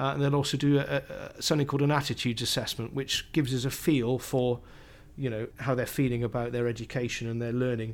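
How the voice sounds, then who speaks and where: Very fast, monotone, flat delivery from a man at a medium pitch. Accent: Cardiff. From South Wales (Cardiff). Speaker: primary school teacher. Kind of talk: interview. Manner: halting.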